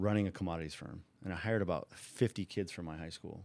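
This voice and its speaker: A man talks with a Californian accent. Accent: Californian American English. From Southern California (Orange County). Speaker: former bookmaker. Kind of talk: interview. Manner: animated.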